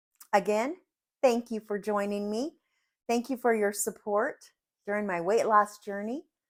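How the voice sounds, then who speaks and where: At a moderate pace broken by long, frequent pauses, a woman speaks at a fairly high pitch with ordinary pitch variation. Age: 60s. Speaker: cooking channel host. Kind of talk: cooking tutorial. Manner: halting.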